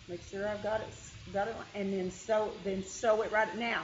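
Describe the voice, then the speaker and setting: A woman at a moderate pace with a Kentucky accent, audible room echo and noticeable background noise. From Kentucky hills. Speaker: quilting teacher. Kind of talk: tutorial. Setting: meeting room with group.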